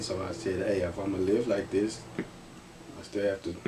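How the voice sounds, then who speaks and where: Through audible room echo and noticeable background noise, a man with an American accent speaks at a fairly low pitch. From Texas, Garland (Dallas area). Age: 30s. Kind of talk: interview. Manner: casual, conversational.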